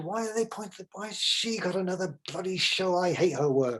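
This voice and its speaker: Lively in intonation, a man speaks at a high pitch with an English accent. His pace is moderate. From Nigeria, then England. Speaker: photographer. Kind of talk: casual interview. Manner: halting, many repetitions.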